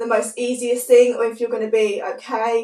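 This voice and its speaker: This is a woman speaking at a high pitch. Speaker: vlogger. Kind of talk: casual chat.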